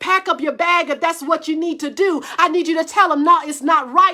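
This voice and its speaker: Over noticeable background noise, a woman speaks in an animated tone at a fairly quick pace, her voice squeaky and extremely high. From US South. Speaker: preacher. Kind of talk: sermon. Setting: livestream. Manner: stammering repetitions.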